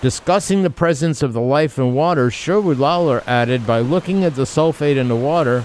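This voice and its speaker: Noticeable background noise sits under a man's lively intonation and American accent. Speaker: radio host. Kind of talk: radio show interview. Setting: studio. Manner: animated.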